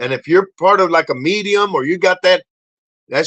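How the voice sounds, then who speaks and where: High-pitched and animated, a man speaks in a raised, projected voice with lively intonation. His tone is bright and sharp. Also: dry, close sound with no echo. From Puerto Rico. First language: Spanish. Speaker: podcast host, motivational speaker. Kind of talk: casual podcast monologue. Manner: animated, rambling with many false starts.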